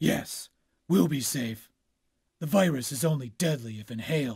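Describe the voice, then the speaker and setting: A man's cartoonish character voice at a medium pitch. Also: moderate pace, big swings in loudness. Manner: gruff, brooding, terse.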